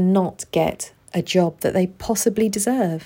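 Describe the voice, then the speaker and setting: In a very clean recording with a silent background, a woman speaks at a medium pitch with a dark, mellow tone and ordinary pitch variation. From UK, Pakistani heritage. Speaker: podcast host, case management psychologist. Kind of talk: solo podcast monologue.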